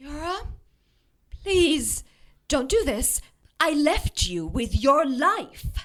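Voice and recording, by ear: Putting on a character voice, a woman speaks at a very slow pace in a high, fairly bright tone with big pitch swings.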